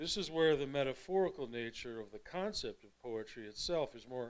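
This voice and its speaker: Moderate pace from a man with an American accent. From US Midwest, Evanston, Illinois. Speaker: poet and artist. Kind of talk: lecture. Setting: stage with audience.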